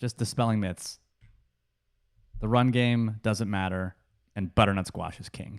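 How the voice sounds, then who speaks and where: A man with a fairly low pitch speaks at a moderate pace with fairly even intonation, in a dry, close sound with no echo. His loudness swings widely, and he takes long, frequent pauses. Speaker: sports podcast co-host. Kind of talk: casual chat. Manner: hesitant, many fillers.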